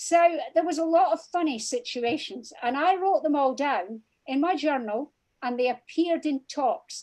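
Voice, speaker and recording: A high-pitched woman with a Scottish accent talks at a moderate pace with lively intonation. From Scotland. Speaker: crime author. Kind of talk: interview.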